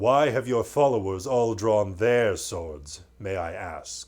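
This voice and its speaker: Using a put-on character voice, a man speaks at a fairly slow pace. His pitch is medium. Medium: read story. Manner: majestic, warm.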